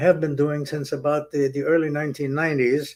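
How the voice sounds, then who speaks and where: A man speaks over noticeable background noise. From Germany. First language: German. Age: 90s. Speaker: Holocaust survivor. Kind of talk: testimony. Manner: halting.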